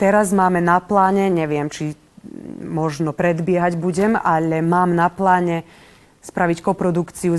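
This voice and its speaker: A woman with an ordinary speaking voice talks at a fairly slow pace. Her pitch is fairly low and her intonation fairly even. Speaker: theatre director. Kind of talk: interview.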